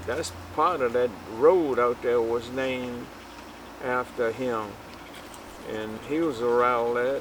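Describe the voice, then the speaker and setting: Against noticeable background noise, a man with an American accent speaks at a very slow pace, at a medium pitch with ordinary pitch variation. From Virginia, US South. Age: 80s+. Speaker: elder sharing family history. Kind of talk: oral history interview. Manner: halting.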